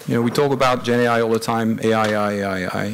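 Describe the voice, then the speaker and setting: Light background noise sits under speech delivered at a fairly quick pace. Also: man. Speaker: conference presenter. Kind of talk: conference talk. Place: hall.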